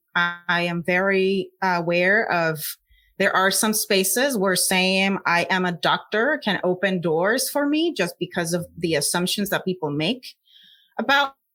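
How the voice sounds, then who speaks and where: Speaking fairly slowly with a Puerto Rican accent, a woman keeps her loudness very even, her medium-pitched voice bright and sharp in tone. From Puerto Rico. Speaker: scientist. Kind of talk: interview.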